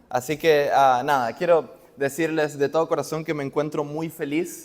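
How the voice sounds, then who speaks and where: A man with an Argentine accent speaks in a fairly high voice. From Argentina. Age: young. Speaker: preacher. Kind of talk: sermon. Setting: church.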